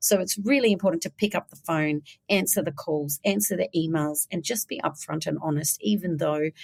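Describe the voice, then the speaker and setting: With an Australian accent, a woman speaks in an intense tone at a very deep, low pitch. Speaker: business founder. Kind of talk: interview. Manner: fast; direct, intense.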